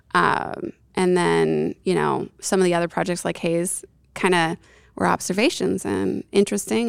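The speaker has an American accent and moves at a moderate pace with very wide pitch swings. The recording is very clean, with a silent background. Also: woman. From upstate New York. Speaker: yeast scientist. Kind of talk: casual interview.

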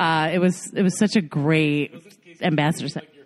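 The speaking pace is moderate. Noticeable background noise is present. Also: woman. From US South, Virginia (Chesterfield). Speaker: improv comedian. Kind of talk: casual chat. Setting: stage with audience.

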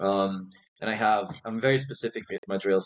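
It is an ordinary speaking voice, with normal movement in pitch. The speech runs at a fairly quick speed. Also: man. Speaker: masters sprinter and track coach. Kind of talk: interview.

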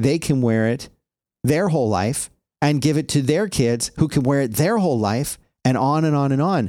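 In a very clean recording with a silent background, a man talks at a fairly high pitch with a dark, mellow tone. His intonation is lively, his loudness very even, and his pace moderate. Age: 40s. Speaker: podcaster. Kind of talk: casual chat.

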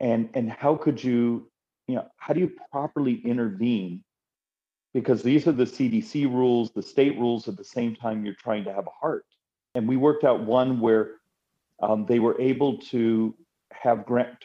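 A man speaks at a moderate pace, his pitch medium and its variation ordinary. He has an ordinary speaking voice. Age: 50s. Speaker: congressman. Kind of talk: interview.

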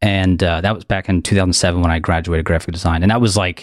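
The speaker talks at a fairly quick pace with an American accent. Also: man. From US Northeast, Philadelphia suburbs. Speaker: app developer and YouTuber. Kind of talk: casual interview. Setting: video call.

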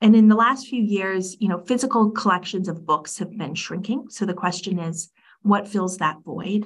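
A woman's somewhat breathy voice sits at a medium pitch with ordinary pitch variation, moving at a moderate pace. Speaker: architect and design lead. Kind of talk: casual interview conversation.

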